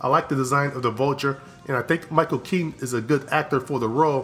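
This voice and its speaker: A man with a fairly high voice talks at a very fast pace, his intonation fairly even, with music playing in the background. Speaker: film reviewer. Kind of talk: casual review talk to camera.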